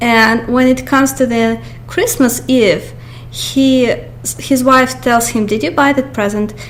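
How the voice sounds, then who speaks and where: A woman speaks fairly slowly with a Russian accent. There is noticeable background noise and audible room echo. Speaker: YouTuber. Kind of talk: movie review monologue. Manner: halting, many fillers.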